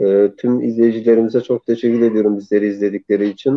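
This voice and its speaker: A man speaks at a medium pitch in a flat, monotone intonation. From Diyarbakır, Turkey. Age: 20s. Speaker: filmmaker. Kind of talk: interview.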